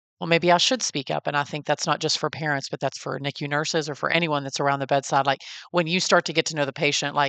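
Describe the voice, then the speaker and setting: A Texas accent at a very fast pace, with fairly even intonation, a dry, close sound with no echo and a quiet background. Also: woman, very deep, low pitch for a woman. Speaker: podcast host and NICU parent. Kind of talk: interview. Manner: casual, conversational.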